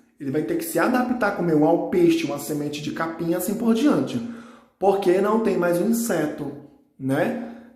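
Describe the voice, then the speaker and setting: Noticeable background noise and audible room echo surround a man's high voice. He keeps a moderate pace with lively intonation. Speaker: biology teacher. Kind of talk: recorded lesson.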